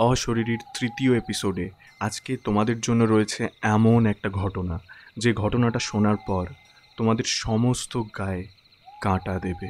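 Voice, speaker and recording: With a normal speaking voice, a man talks at a fairly low pitch with fairly even intonation. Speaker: radio-style horror story host. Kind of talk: podcast show intro.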